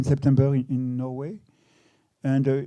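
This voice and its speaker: A man speaks with a French accent in a dark, mellow tone. His pace is moderate. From France. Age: 60s. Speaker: photographer. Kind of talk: public talk interview. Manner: halting, many repetitions.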